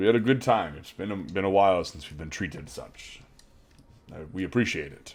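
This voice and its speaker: In a gruff, put-on character voice, the speaker races along at a fairly quick pace with lively intonation and big swings in loudness. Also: man, very deep, low pitch for a man. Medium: actual play. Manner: gruff, candid.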